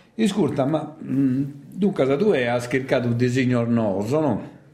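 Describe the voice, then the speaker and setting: Moderate pace and ordinary pitch variation, with noticeable background noise and audible room echo. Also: man. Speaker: radio host. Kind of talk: radio interview.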